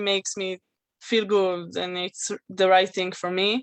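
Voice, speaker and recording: A woman with an Israeli accent, medium in pitch, with monotone, flat intonation. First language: Hebrew. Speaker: guest speaker. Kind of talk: testimony. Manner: halting.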